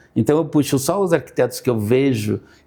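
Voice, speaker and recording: On a very clean recording with a silent background, a man speaks at a moderate pace in a medium pitch, with a dark, mellow tone and ordinary pitch variation. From Brazil, interior of Paraná. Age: 60s. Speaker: architect. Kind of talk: interview conversation. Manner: halting, many repetitions.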